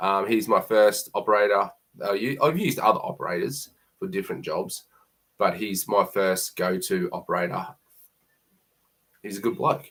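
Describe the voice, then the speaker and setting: Delivered at a moderate pace in a strong Queensland accent, the voice moves through very wide pitch swings. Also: man. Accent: broad Queensland Australian. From Queensland, Australia. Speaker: plumber. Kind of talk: live stream Q&A. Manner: casual, hesitant with fillers.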